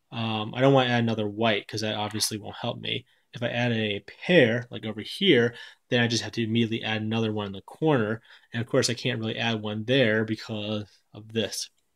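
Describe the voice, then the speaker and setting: Against a quiet background, a man with an unremarkable speaking voice talks at a fairly quick pace and medium pitch, with fairly even intonation and big swings in loudness. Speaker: board game reviewer. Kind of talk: tutorial.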